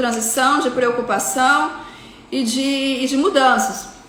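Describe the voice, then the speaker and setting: A fairly slow pace with ordinary pitch variation, audible room echo and noticeable background noise. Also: woman. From Rio de Janeiro, Brazil. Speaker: psychiatrist. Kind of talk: lecture. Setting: live stream.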